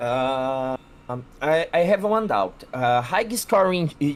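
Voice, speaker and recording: Music plays behind a man speaking at a very slow pace. His pitch swings very widely. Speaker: tournament player. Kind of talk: casual chat. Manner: halting.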